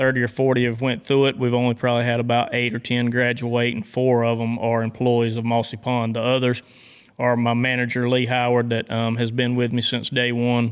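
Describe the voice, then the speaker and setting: A man speaks with a Southern US accent at a fairly quick pace. His pitch is medium and his intonation is monotone and flat. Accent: Southern twang. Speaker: dog trainer. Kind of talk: casual interview. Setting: hunting camp.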